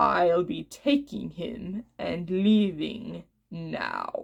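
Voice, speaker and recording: Someone uses a put-on character voice, growling at a very slow pace. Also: woman, medium pitch for a woman. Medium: read story. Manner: calm, firm.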